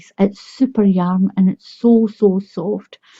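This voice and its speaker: With a Scottish accent, a woman speaks at a fairly slow pace, her medium pitch held in fairly even intonation. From Scotland. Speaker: crochet tutorial creator. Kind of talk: tutorial. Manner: friendly, encouraging.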